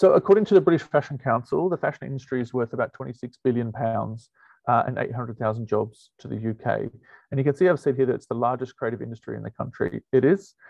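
Vocal fry and big jumps in loudness at a very fast pace, against a quiet background with a dry, echo-free sound. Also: man, ordinary pitch variation. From Wales. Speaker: university lecturer. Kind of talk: online presentation.

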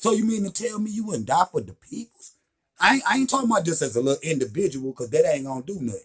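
A man talks fast in a fairly high voice with a slightly husky edge, his pitch swinging a lot.

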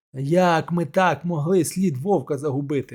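A rumbling put-on character voice moves along at a moderate pace. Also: man, fairly high pitch for a man. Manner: grumbling, disappointed.

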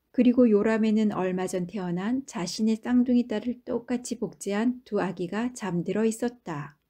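Over a quiet background, a woman speaks at fairly high pitch in a dark, mellow, somewhat breathy tone, with ordinary pitch variation and hardly any pauses. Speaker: audiobook narrator. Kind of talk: audiobook narration, bedtime story reading. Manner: slow, calm, soothing; gentle, even storytelling pace.

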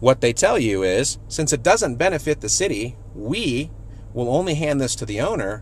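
At a moderate pace, a man speaks against light background noise. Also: dry sound with no echo. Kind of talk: casual vlog tip. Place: car. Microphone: phone near.

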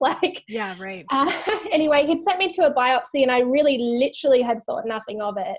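With an American accent, a woman speaks high in pitch at a fairly quick pace, her intonation lively. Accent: Australian, slightly shifted by living in US. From Australia. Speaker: author and resilience speaker. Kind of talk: interview.

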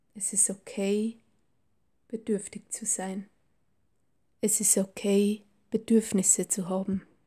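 A calm, soothing tone at a very slow pace, broken by long, frequent pauses, over a very clean recording with a silent background. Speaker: meditation guide. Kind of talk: guided meditation. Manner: slow, calm, soothing; gentle, warm, unhurried.

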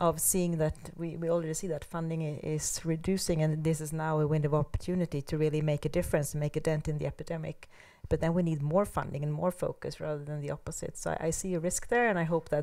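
A woman talks at a very fast pace, her voice very deep and low with a dark, mellow tone. Her intonation is monotone and flat against a quiet background. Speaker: panelist. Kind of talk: panel discussion. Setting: seminar with audience. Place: hall. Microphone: handheld.

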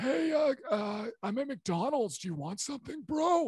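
A raspy, high-pitched put-on character voice. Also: moderate pace. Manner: laid-back, bro-like.

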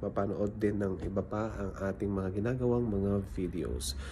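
Against light background noise, a man with a fairly low pitch speaks fairly slowly with lively intonation. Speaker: cafe worker vlogger. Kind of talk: casual vlog chat. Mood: grateful, cheerful. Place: cafe. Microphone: phone near.

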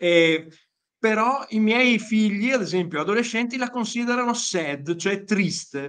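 The voice moves at a fairly slow pace with lively intonation. The background is quiet. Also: man, high pitch for a man. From Italy. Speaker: group member asking questions. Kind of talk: casual chat. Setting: video call. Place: home room. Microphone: video call.

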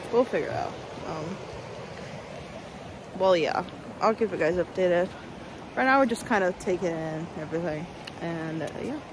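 A woman with a fairly low voice talks at a moderate pace, with long, frequent pauses, noticeable background noise and a dry sound without echo. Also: ordinary pitch variation. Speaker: travel vlogger. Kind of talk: casual vlog chat. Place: waterside. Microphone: phone near.

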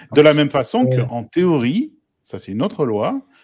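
Male speech on a very clean recording with a silent background, fairly high in pitch, moderately paced, with pitch swinging very widely. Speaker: guest analyst on game law. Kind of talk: debate discussion.

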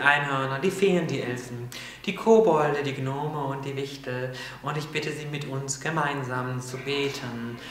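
Moderate pace from a man amid noticeable background noise and audible room echo. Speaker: spiritual video host. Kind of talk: prayer. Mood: solemn, heartfelt. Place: studio.

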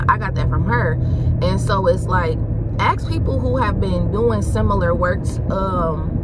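Loud noise fills the background as a woman talks at a medium speed, her voice dry and free of echo. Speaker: vlogger, new instructor. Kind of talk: casual vlog chat. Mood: chatty, briefly annoyed. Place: car. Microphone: phone near.

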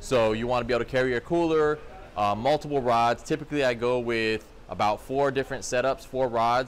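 A man talks at a moderate pace with fairly even intonation, with light background noise behind him. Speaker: fishing channel host. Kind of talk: tutorial. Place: shop. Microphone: phone near.

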